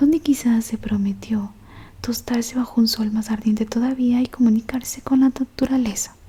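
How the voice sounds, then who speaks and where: Noticeable background noise sits behind this recording. A woman talks at a fairly high pitch with fairly even intonation. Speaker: ASMR audiobook reader. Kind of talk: whispered audiobook reading of a novel. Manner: whispered, soft, slow.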